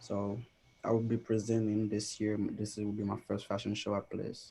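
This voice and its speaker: At a moderate pace, a quiet man with a fairly low pitch talks in a monotone, flat way, his tone dark, mellow and somewhat breathy. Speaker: fashion designer. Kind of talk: panel introduction.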